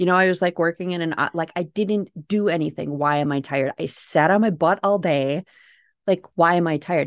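With a Minnesota accent, a woman with a fairly low voice speaks at a fairly quick pace with ordinary pitch variation, in a dry, close sound with no echo and a quiet background. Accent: Minnesota accent, noticeable. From Minnesota, US Midwest. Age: 40s. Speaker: author and homesteader podcaster. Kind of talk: casual interview chat.

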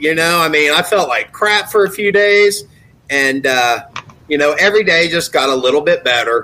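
This is an unremarkable speaking voice with an American accent and lively intonation. The pace is moderate and the loudness very even. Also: man, fairly high pitch for a man. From US Midwest, southern Ohio near West Virginia. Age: 40s. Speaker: recovering alcoholic sharing story. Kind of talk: testimony.

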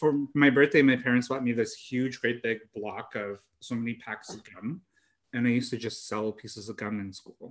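A man talks in a normal speaking voice at a medium pitch and a moderate pace. His loudness swings widely. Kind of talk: casual chat. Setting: remote call.

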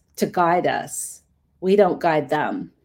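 In a normal speaking voice with a Canadian accent, a woman talks at a fairly slow pace on a very clean recording with a silent background. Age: middle-aged. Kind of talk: interview.

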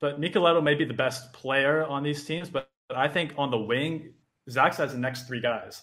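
A man with a Canadian accent and a fairly high pitch speaks in a plain, everyday voice. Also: fairly even intonation, moderate pace. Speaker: volleyball content creator. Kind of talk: casual sports discussion.

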